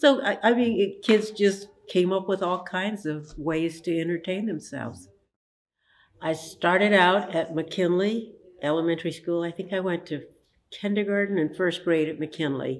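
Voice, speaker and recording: Speaking at a moderate pace in an American accent, a woman has an unremarkable speaking voice, fairly low in pitch, with ordinary pitch variation. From United States, Santa Monica, California. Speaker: oral history interviewee, museum research center co-founder. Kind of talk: oral history interview answer.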